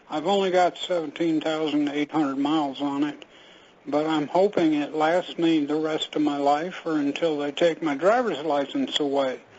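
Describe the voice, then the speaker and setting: This man talks at a moderate pace in a fairly high voice with fairly even intonation. Noticeable background noise runs underneath. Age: 70s. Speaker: caller. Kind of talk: call-in question.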